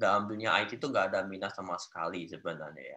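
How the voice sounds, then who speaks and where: A man speaks with a strong Javanese accent. His tone is bright and sharp against a quiet background. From Central Java, Solo area; Central Java. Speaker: Android developer; guest. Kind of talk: interview. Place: home room. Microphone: video call.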